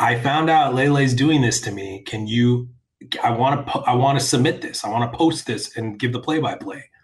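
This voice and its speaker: A man's somewhat breathy voice with ordinary pitch variation at a moderate pace. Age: 40s. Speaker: website founder and media executive. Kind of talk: interview. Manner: halting, with frequent restarts.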